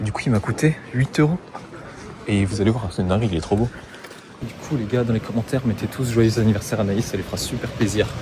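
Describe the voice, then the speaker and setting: Against noticeable background noise, the speaker talks at a very fast pace with long, frequent pauses and ordinary pitch variation. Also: man, medium pitch for a man. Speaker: travel vlogger. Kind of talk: casual vlog chat.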